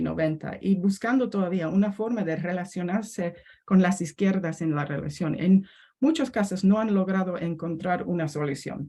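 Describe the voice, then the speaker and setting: Somewhat breathy and dark, mellow in tone, a woman with an English accent speaks at medium pitch and a moderate pace, with ordinary pitch variation. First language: English (speaking Spanish). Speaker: historian. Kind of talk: academic panel talk. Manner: halting.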